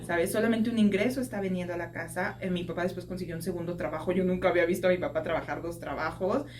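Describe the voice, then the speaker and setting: Talking at a very fast pace with hardly any pauses, a woman with a fairly low pitch is heard amid audible room echo and noticeable background noise. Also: ordinary pitch variation. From Mexico, Mexico City. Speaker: podcast guest, social worker. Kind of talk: testimony interview. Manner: conversational, with hesitations.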